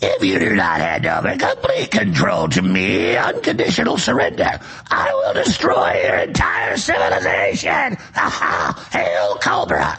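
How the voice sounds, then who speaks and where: A man uses a raspy, put-on character voice at a fairly slow pace. Background noise is clearly audible. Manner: menacing, bombastic.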